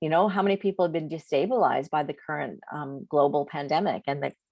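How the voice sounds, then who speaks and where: Over a quiet background, a woman with a very deep, low pitch speaks at a fairly quick pace in an enthusiastic tone, with ordinary pitch variation. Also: dry, close sound with no echo. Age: 60s. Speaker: network marketing distributor. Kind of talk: sales pitch.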